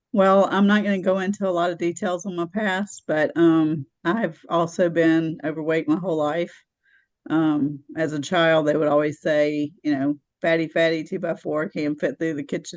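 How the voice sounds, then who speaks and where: An ordinary speaking voice, a woman's, fairly low in pitch, at a moderate pace with fairly even intonation over a quiet background. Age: 60s. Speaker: support group member. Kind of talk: testimony.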